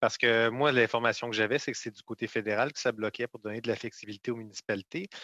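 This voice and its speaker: In a bright, sharp tone, a man of medium pitch talks at a very fast pace with hardly any pauses and fairly even intonation. His loudness swings a lot against a quiet background. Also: dry, close sound with no echo. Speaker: member of parliament. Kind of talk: parliamentary committee questioning. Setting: parliamentary committee.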